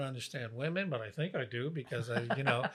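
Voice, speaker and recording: At a fairly quick pace, this man speaks while noticeable noise sounds in the background. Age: 70s. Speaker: Broadway performer and writer. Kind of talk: casual chat. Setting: kitchen table.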